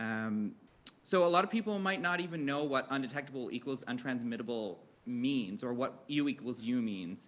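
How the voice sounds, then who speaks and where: The speaker has a Newfoundland accent and a bright, sharp tone, talking at a fairly quick pace with ordinary pitch variation. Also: man. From Newfoundland, Canada. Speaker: health educator, panel moderator. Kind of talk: panel discussion moderation. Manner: fast; animated.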